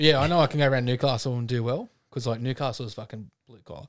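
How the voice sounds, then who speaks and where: A man with an Australian accent speaks at a very fast pace in a medium pitch. The recording is very clean, with a silent background. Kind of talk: casual banter. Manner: loud, joking, swearing.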